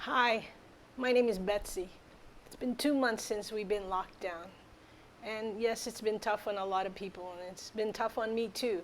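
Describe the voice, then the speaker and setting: A woman with an ordinary speaking voice, fairly high in pitch, at a moderate pace with fairly even intonation. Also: big swings in loudness. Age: 60s. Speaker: wellness product promoter. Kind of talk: product testimonial.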